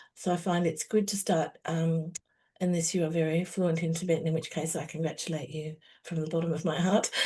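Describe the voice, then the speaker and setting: The voice is somewhat breathy with a dark, mellow tone. It moves at a fairly quick pace in a flat, monotone intonation. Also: woman, fairly low pitch for a woman. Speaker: meditation teacher. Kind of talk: spiritual teaching session. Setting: online video call. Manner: fast.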